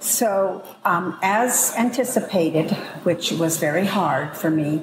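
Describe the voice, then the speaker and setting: With audible room echo and noticeable background noise, a woman with an American accent speaks with lively intonation. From US West Coast (Los Angeles). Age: 70s. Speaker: triathlete. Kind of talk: interview.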